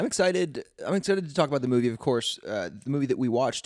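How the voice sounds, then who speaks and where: A man is speaking. His pitch swings very widely. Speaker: podcast host. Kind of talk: casual chat.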